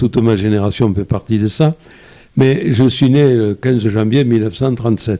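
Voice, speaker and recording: This man has a medium pitch and a dark, mellow tone. He talks at a moderate pace with ordinary pitch variation. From France, Lozère (rural). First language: Occitan patois (speaking French). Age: 80s+. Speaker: photographer. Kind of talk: interview. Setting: live video broadcast. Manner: halting, many repetitions.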